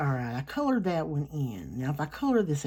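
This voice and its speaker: With an American accent and lively intonation, a woman speaks at a moderate pace in a very deep, low pitch. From US South. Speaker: artist. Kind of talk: casual drawing narration. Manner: relaxed.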